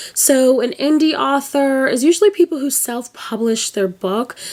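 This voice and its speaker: Noticeable background noise sits behind the voice. The pitch varies in an ordinary way at a moderate pace. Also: woman. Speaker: YouTube commentary host. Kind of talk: casual commentary vlog.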